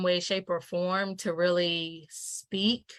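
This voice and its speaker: A woman speaks very slowly at a medium pitch. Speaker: entrepreneur and activist, guest. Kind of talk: interview conversation. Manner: hesitant, many ums.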